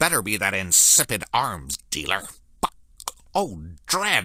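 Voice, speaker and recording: This is a put-on character voice. Its pitch sits low. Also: fairly slow pace. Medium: video game. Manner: irritable, ranting.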